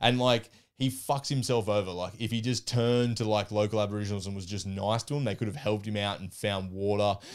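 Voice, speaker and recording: A man with an Australian accent talks at a very fast pace and fairly low pitch with fairly even intonation, on a very clean recording with a silent background. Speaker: podcast guest, history enthusiast. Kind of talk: casual chat.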